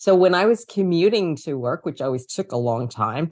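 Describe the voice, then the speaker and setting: A woman speaks with a New York accent at a moderate pace. The background is quiet. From New York City, Queens. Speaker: author and communication coach. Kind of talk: interview. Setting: podcast interview.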